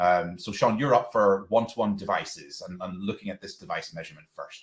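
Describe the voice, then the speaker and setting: This man has a Northern Irish accent and a fairly low pitch. He talks at a fairly quick pace with fairly even intonation. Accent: Northern Irish twang. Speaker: education technology presenter, former local authority digital lead. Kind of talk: webinar presentation. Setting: online webinar. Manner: hesitant, many fillers and repeated words.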